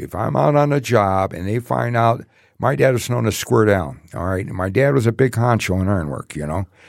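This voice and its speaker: A man with a Detroit accent speaks at a moderate pace with very wide pitch swings. The recording is very clean, with a silent background. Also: fairly low pitch for a man. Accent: Midwestern American (Detroit). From Detroit, Michigan. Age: 70s. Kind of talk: casual interview storytelling. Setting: in-person studio. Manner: halting, many fillers.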